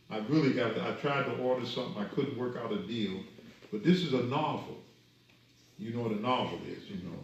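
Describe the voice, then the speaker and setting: A man talks fairly quickly at a medium pitch with lively intonation. There is noticeable background noise and audible room echo. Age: 70s. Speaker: minister. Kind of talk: lecture. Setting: study group.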